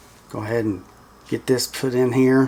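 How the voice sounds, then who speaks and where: A man speaks at medium pitch against noticeable background noise. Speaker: FPV drone hobbyist YouTuber. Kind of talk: build tutorial. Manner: monotone.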